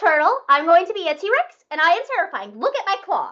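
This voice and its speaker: Putting on a squeaky character voice, a woman talks fairly quickly at an extremely high pitch. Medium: stage play. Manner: boastful.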